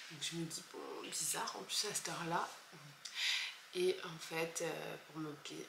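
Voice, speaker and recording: Soft-spoken and at a fairly slow pace with long, frequent pauses, a woman talks amid noticeable background noise and audible room echo. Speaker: vlogger. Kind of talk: casual vlog. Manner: halting.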